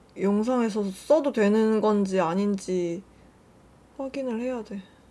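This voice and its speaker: A woman talks very slowly, at a fairly high pitch with ordinary pitch variation. Her tone is dark and mellow. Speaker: beauty youtuber. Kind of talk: makeup tutorial chat. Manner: casual, chatty.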